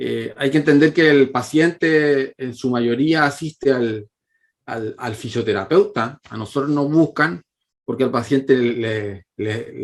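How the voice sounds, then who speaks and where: A man with a Chilean accent at a fairly slow pace. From Chile, La Calera. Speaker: physiotherapist, pain researcher. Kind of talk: lecture. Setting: online conference with shared screen. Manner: halting, many fillers and repetitions.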